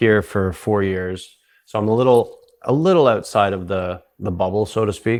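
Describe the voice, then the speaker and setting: An unremarkable speaking voice with a Canadian accent, in a very clean recording with a silent background. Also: man. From South Africa. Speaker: psychedelic retreat founder. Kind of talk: podcast interview.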